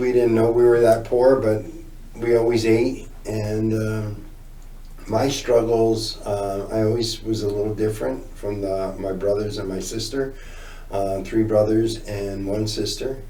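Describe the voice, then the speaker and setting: Medium pitch, fairly even intonation and a fairly slow pace from a man, amid audible room echo. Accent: New Jersey. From northern New Jersey, near Newark. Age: 60s. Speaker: recovering addict telling his story. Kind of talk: interview testimony.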